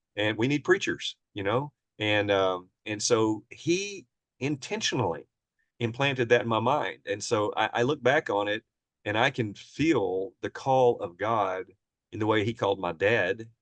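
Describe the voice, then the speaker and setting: A man with a Southern US accent speaks at a fairly slow pace and medium pitch, with ordinary pitch variation. The sound is dry and close with no echo, against a quiet background. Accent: Southern American. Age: 60s. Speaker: preacher. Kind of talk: interview, personal life story. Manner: casual, conversational.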